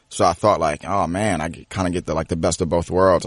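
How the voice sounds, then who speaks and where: A man with an American accent, very deep and low in pitch, monotone and flat, over a quiet background. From US Mid-Atlantic, Prince George's County, Maryland. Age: 20s. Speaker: professional wrestler. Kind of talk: interview.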